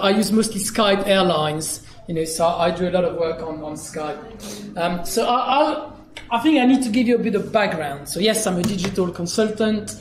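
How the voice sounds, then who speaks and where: A man with a French accent, high-pitched, at a fairly quick pace with ordinary pitch variation, amid noticeable background noise and audible room echo. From France, Dijon. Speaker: digital consultant. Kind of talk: conference keynote. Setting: stage with audience.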